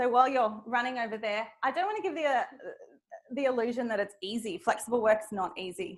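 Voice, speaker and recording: With an Australian accent, a woman speaks at a fairly quick pace with lively intonation. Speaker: speaker on flexible work, manager. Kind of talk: audience Q&A at a talk. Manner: fast when passionate.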